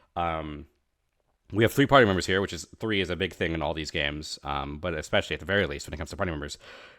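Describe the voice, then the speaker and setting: A quiet man speaks at a very fast pace with lively intonation, recorded very cleanly against a silent background. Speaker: streamer reacting to game trailer. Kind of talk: live stream reaction and analysis. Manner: a bit quiet; halting, many fillers and self-corrections.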